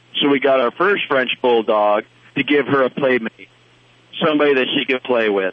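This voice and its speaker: Using a normal speaking voice, a man speaks at a medium pitch and moderate pace, with ordinary pitch variation and very even loudness. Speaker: caller, dog owner. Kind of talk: casual chat. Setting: phone call.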